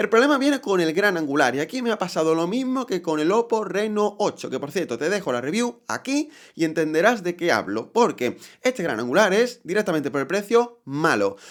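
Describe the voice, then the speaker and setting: On a very clean recording with a silent background, a man talks at a fairly quick pace. His pitch is high, with very wide swings. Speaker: tech youtuber. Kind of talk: product review. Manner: conversational.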